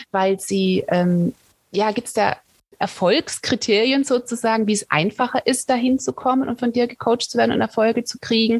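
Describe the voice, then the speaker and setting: A woman talks at a fairly high pitch with lively intonation. The sound is dry and close, with no echo. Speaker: podcast host. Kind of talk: interview. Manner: laughs often.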